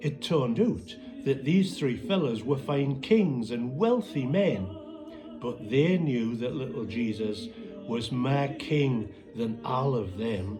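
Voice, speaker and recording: Speaking with a Northumbrian accent, a man at a medium pitch talks at a very slow pace. His voice makes very wide pitch swings over music in the background. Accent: Northumbrian Pitmatic dialect. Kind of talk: poetry reading.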